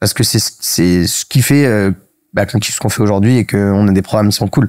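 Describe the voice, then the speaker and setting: Delivered at a fairly quick pace, the speech has a dry, close sound with no echo in a very clean recording with a silent background. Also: man, fairly low pitch for a man, ordinary pitch variation. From Paris, France. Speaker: startup cofounder. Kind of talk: interview. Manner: fast; hesitant, many fillers.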